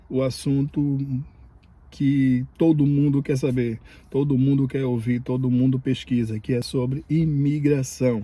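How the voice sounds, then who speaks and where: A man's somewhat breathy voice, dark and mellow in tone, at a medium pitch with fairly even intonation and a fairly slow pace. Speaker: immigration vlogger. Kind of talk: casual vlog commentary. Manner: halting, many fillers.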